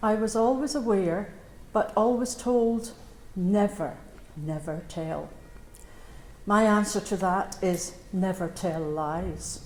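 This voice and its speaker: Her intonation is lively as a woman talks with a Scottish accent. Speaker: Bethany Home survivor. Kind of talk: memorial speech.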